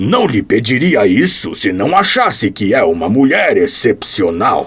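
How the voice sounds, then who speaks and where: A man growls in a put-on character voice at a medium pitch. He speaks at a fairly slow pace. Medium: audio drama. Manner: assured, precise.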